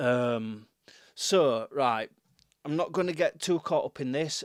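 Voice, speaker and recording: A man with a Yorkshire accent and a fairly high voice speaks at a very slow pace on a very clean recording with a silent background and a dry, close sound with no echo. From West Yorkshire. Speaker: music producer and livestreamer. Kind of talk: live stream tutorial chat. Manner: casual, filler-heavy.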